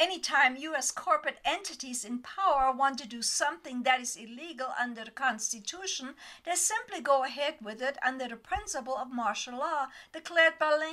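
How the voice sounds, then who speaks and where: A woman projects her voice loudly, high in pitch and bright, sharp in tone. Her intonation is lively, and her loudness swings widely. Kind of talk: political commentary voice-over. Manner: slow.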